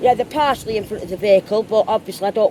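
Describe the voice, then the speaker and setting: A woman with an English accent speaks with ordinary pitch variation over noticeable background noise. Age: 60s. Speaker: urban explorer. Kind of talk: phone call to police.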